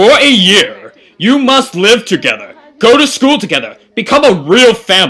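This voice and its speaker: A man speaks at a moderate pace in a raised, projected voice with a pompous, stern tone. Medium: fan dub. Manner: pompous, lecturing, then stern.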